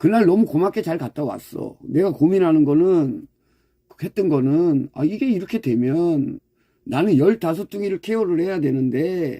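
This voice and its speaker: On a very clean, dry, close recording with no echo and a silent background, a man with a dark, mellow tone speaks high for a man, fairly slowly, with lively intonation. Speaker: dog farm owner and YouTuber. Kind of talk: casual livestream-style talk to subscribers. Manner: blunt, strong intonation; direct speaking style.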